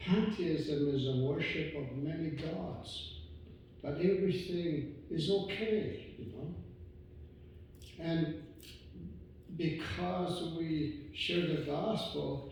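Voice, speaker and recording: With audible room echo, a man speaks very slowly in a fairly high pitch, using ordinary pitch variation and long, frequent pauses. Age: 60s. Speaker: visiting preacher. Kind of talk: sermon. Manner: halting, many fillers.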